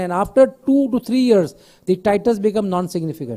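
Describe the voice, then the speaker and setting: The voice is loud with a dark, mellow tone, moving at a moderate pace with ordinary pitch variation. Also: man. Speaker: pediatrician vaccine expert. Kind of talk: conference Q&A panel. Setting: conference hall with mic, streamed online.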